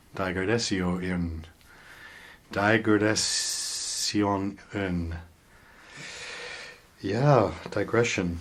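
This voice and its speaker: Amid noticeable background noise, a man with an American accent speaks at a very slow pace and a fairly low pitch, with fairly even intonation and long, frequent pauses. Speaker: radio artist and voice performer. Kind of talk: interview answer. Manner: thoughtful, playful with words.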